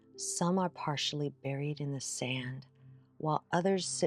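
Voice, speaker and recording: Music plays behind a woman whose pitch is very deep and low. Her pitch varies in an ordinary way. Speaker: meditation guide. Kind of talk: guided meditation. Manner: soft-spoken; slow.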